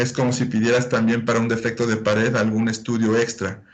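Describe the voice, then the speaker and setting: The voice comes at a moderate pace. Audible room echo is present. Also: man. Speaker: medical lecturer. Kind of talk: lecture.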